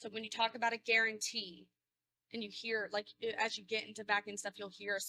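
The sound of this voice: A woman talks at a fairly quick pace in a bright, sharp tone, her pitch medium with little movement. The sound is dry and close, with no echo.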